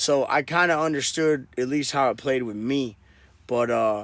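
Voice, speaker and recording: A man with an American accent and a plain, everyday voice, medium in pitch with fairly even intonation. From Wisconsin. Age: 30s. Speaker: rapper. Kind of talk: casual chat.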